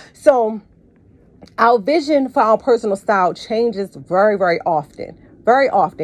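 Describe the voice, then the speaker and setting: A woman talks in a normal speaking voice at a fairly high pitch. Her pace is moderate and her intonation lively. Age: 40s. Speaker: podcast host and personal stylist. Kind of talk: solo podcast monologue.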